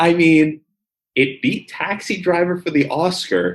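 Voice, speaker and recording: Speaking at a very slow pace, a man with a high voice has a slight Philadelphia accent. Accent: slight Philadelphia-area. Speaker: podcast co-host. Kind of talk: casual chat.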